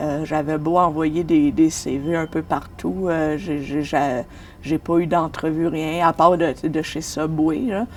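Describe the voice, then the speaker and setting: A woman's very deep, low voice at a very slow pace, with fairly even intonation. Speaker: street newspaper vendor. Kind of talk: documentary interview.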